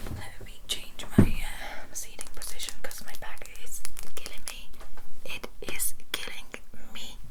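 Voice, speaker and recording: Here a woman is whispering. Noticeable background noise can be heard. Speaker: ASMR creator. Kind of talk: casual talk to camera, ASMR get-ready-with-me ramble. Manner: whispered, soft-spoken.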